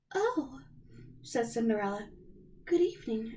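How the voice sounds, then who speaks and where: With a dark, mellow tone, a woman speaks at a fairly slow pace, her fairly high pitch swinging very widely. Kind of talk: storybook read-aloud. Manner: some stumbling and fumbling.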